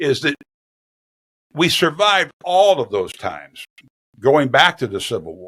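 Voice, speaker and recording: With vocal fry and a bright, sharp tone, a man of fairly high pitch talks at a fairly slow pace with long, frequent pauses, very wide pitch swings and big swings in loudness. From US Midwest (small-town Iowa). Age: 70s. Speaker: retired sports anchor. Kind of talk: interview conversation.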